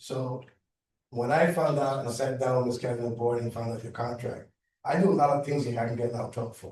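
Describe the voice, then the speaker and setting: In a room with audible echo, a man with a dark, mellow tone speaks fairly quickly at medium pitch, his intonation fairly even. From Cuban heritage. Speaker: landscaping account manager. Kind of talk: community board meeting. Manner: loud; halting, repetitive.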